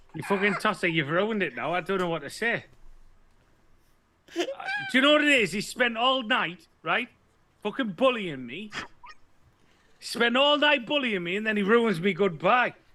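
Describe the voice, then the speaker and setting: Projecting his raised voice, a man speaks at a moderate pace and high pitch. His intonation is lively, broken by long, frequent pauses. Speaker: vaping show co-host. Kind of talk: casual chat.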